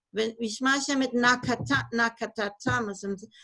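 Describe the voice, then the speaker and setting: Music plays in the background as a woman speaks at a moderate pace with ordinary pitch variation. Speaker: Torah teacher. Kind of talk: online lecture. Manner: halting.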